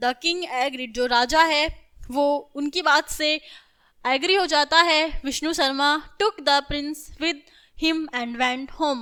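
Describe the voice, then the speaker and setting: A woman projects her high-pitched voice in a bright, sharp tone with ordinary pitch variation. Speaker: school teacher. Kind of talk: lecture. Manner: animated.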